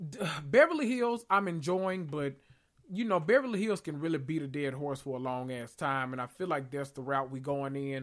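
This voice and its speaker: The speaker has a strong Southern US accent and an animated tone. The pace is moderate. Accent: strong Southern, country. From US South, Memphis, Tennessee. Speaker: podcast host. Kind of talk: casual chat.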